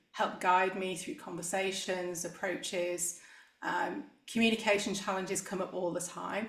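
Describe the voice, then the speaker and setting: Heard with audible room echo, a woman with an English accent speaks at a medium pitch and moderate pace, with ordinary pitch variation. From England, Manchester area. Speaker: executive coach. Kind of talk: interview.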